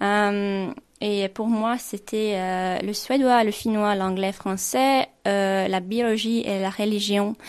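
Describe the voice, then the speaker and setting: A woman at medium pitch with a very slow pace and flat, monotone intonation. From Finland. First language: Swedish (speaking French). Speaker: intern. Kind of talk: radio interview. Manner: halting, many hesitations.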